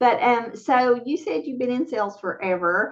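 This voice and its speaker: A woman talks in a Southern US accent. Her fairly high voice has lively intonation. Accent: Southern accent, noticeable. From West Virginia. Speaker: talk show host. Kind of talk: casual interview chat.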